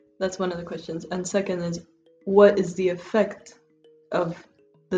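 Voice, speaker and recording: Over music in the background, a woman speaks at a medium pitch with fairly even intonation. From Honduras, Tegucigalpa. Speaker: researcher and migration justice advocate. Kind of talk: interview answer.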